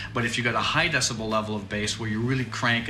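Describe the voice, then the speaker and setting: A man speaks very fast at a medium pitch with fairly even intonation, his voice carrying audible room echo over noticeable background noise. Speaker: soundproofing product salesman. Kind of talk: product explanation. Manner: loud.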